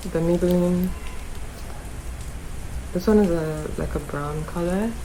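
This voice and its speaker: A woman speaks very slowly in a relaxed tone over noticeable background noise. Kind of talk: beauty tutorial talk to camera. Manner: casual, relaxed.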